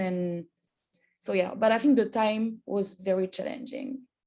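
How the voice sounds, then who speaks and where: A woman talks at a moderate pace over a quiet background. Her fairly high voice has a dark, mellow tone. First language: not English. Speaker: undergraduate scholar. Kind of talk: info session Q&A. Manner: halting.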